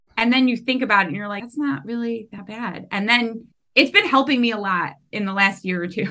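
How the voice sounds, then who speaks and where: A woman talks at a fairly quick pace with a fairly high pitch, a bright, sharp tone, and big swings in loudness. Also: ordinary pitch variation. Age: 30s. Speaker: podcast host and veterinary technician. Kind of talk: casual interview chat. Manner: animated.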